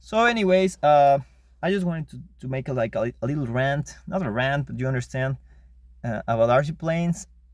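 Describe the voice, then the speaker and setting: With a non-native accent, a man talks at a fairly quick pace using lively intonation. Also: fairly high pitch for a man. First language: not English. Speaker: RC model hobbyist vlogger. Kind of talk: casual monologue rant. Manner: halting, many repetitions.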